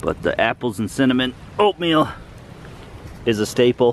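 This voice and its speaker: Light background noise sits under a man's voice, with a dry sound and no echo. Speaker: camping vlogger. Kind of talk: casual vlog chat. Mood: relaxed, upbeat. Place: forest. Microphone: phone near.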